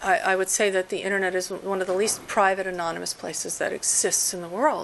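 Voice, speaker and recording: A woman with a medium pitch speaks against noticeable background noise. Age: 50s. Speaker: professor. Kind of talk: lecture; audience Q&A. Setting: seminar with audience.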